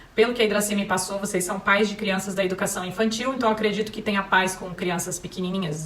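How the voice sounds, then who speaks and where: Someone with a Paraná accent talks at a very fast pace with fairly even intonation, over noticeable background noise and with audible room echo. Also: woman. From Paraná, Brazil (Maringá). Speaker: parenting speaker, psychology. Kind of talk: talk to parents.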